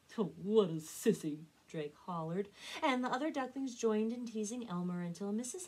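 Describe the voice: The speaker delivers a plain reading aloud.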